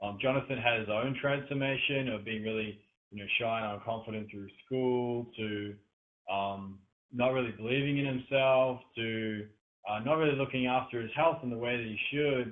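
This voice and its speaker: A man with an Australian accent speaks at a medium pitch with fairly even intonation. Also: moderate pace. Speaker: podcast interviewer. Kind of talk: interview introduction. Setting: online call. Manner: hesitant, many fillers.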